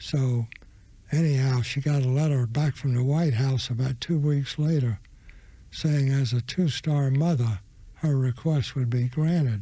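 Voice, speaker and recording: Very clean and silent in the background, this recording has a man with an American accent speaking at a fairly slow pace in a dark, mellow, somewhat breathy voice of medium pitch, with fairly even intonation and very even loudness. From US South, Florida. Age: 100+ (80s+). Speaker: war veteran. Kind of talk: interview storytelling. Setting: studio.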